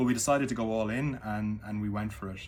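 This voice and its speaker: The speaker uses an Irish accent at a moderate pace. Pitch variation is ordinary. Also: man. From Ireland. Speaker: former business executive. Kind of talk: casual talk to camera. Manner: halting, many fillers.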